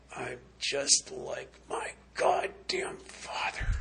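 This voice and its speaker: A man's put-on character voice, whispering, raspy and strained, at a very slow pace. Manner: choked, pained whisper.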